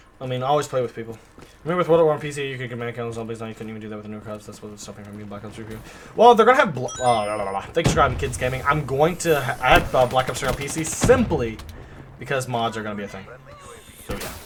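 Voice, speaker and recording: Over music in the background, a man talks very fast at a medium pitch. His animated delivery has lively intonation and big swings in loudness. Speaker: gaming streamer. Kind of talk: live gameplay commentary.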